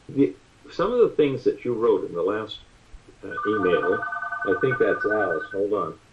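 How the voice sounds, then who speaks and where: A man talks at a moderate pace, stopping often for long pauses. Noticeable background noise runs behind him. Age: 70s. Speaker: father talking religion with his son. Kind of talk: casual chat.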